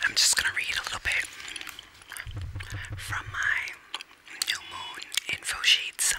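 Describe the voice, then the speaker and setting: A woman whispers at a fairly slow speed, pausing often and at length. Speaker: ASMR creator. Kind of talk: casual talk to camera. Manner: whispered. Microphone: studio mic.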